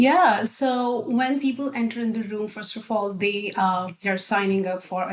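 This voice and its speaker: At a moderate pace, a woman with a non-native accent talks with ordinary pitch variation. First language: not English. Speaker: technical account manager. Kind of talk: casual interview chat.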